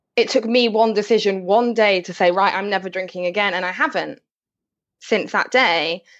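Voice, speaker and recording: A woman speaks in an English accent. Her pitch variation is ordinary. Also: medium pitch for a woman, moderate pace. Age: 20s. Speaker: sobriety and well-being blogger. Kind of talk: interview.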